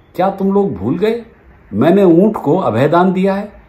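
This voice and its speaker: A man talking at a fairly slow pace. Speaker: storyteller. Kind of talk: storytelling narration with character voices. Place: home room. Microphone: phone near.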